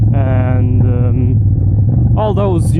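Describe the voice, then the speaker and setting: A man speaks over noticeable background noise. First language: not English. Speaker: motovlogger. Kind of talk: casual vlog narration while riding. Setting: riding a motorcycle outdoors.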